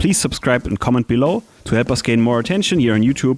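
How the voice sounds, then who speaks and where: Talking at a very fast pace, a man speaks with a German accent. His pitch is medium and his intonation lively. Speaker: drum shop presenter. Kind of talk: scripted channel outro.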